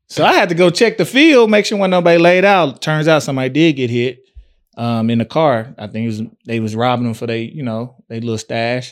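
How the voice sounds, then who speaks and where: Fairly quick and lively in intonation, a man speaks at medium pitch. The recording is very clean, with a silent background. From East Texas (Tyler). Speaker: podcast co-host. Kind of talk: casual chat.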